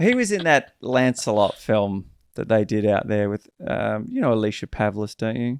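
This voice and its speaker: A man talks at a moderate pace with an Australian accent. The sound is dry and close, with no echo. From Western Australia, Perth. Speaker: podcast host and actor. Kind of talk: casual chat.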